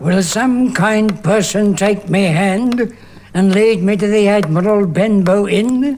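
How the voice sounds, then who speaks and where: A put-on character voice speaks at a fairly slow pace with very even loudness over clear background noise. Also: man, high pitch for a man. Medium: audio drama. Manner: wheedling then menacing.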